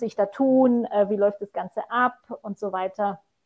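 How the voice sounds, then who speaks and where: This woman has an ordinary speaking voice, with medium pitch and fairly even intonation. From Poland. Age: 40s. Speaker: mountain hiking guide. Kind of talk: podcast interview.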